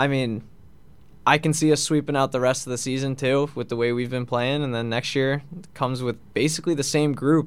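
A man with an American accent speaks at a fairly quick pace, his medium pitch carried in fairly even intonation. He has a plain, everyday voice. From Long Island, New York. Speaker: college hockey captain. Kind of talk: radio interview.

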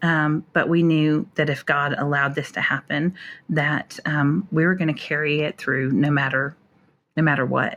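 In an American accent, a woman speaks at a moderate pace with a very deep, low pitch. Her intonation is fairly even and her loudness very even. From North Dakota, US. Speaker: author and speaker. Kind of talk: personal testimony interview. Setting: hotel room, remote call.

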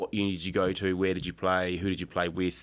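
Speech unfolds at a moderate pace. The recording is very clean and the background silent. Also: man. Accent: Australian. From Australia. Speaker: strength and conditioning coach. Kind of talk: casual interview.

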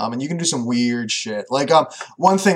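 A man speaks at a medium pitch with a Canadian accent. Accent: Canadian colloquialisms remarked on. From Canada. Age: 20s. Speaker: podcast co-host, programmer. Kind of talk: casual chat.

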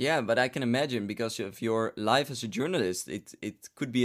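In a very clean recording with a silent background, a man with a Dutch accent talks at a fairly quick pace, his pitch medium and its variation ordinary. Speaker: podcast host. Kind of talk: interview.

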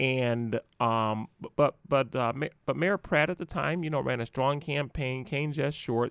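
A plain, everyday voice from a man with an American accent, medium pitch, ordinary pitch variation and moderate pace, in a dry, close sound with no echo on a very clean recording with a silent background. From Milwaukee County, Wisconsin. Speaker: administrative judge and attorney. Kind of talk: history talk in a casual interview.

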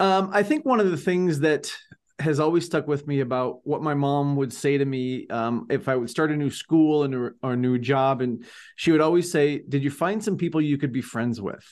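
Against a quiet background, a man with an unremarkable speaking voice talks at a moderate pace, his pitch fairly high with ordinary variation. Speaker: podcast co-host. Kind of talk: interview. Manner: upbeat.

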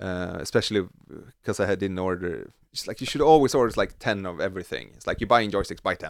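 With a Swedish accent, a man talks at a very fast pace in a very clean recording with a silent background. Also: fairly low pitch for a man, ordinary pitch variation. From Sweden. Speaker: synth module designer. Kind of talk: casual interview. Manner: halting.

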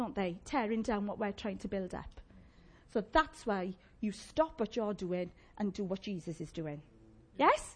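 In a South Wales accent, this somewhat breathy voice moves at a fairly slow pace, with long, frequent pauses. The tone is animated and the intonation lively. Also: woman, medium pitch for a woman. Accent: Llanelli Welsh. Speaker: preacher. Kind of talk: sermon. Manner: animated, call-and-response.

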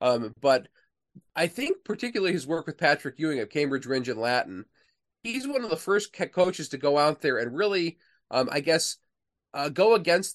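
A man speaks in an ordinary speaking voice, fairly high in pitch, at a moderate pace with lively intonation. The sound is dry and close with no echo, over a quiet background. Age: 40s. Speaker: author and historian. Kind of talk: interview.

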